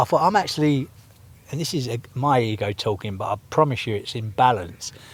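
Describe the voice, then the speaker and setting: A man talks at a fairly quick pace. His voice is somewhat breathy and medium in pitch. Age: 60s. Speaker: percussionist and party promoter. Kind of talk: podcast interview. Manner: animated.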